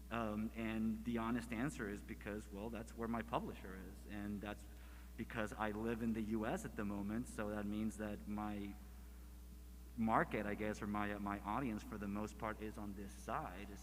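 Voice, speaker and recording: Speaking with a Spanish accent at a moderate pace, a man uses a very deep, low voice with vocal fry and very wide pitch swings, and the room echo is audible. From Mexico, border region (Mexicali). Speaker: comics creator. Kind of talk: panel discussion. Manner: halting, many fillers and restarts.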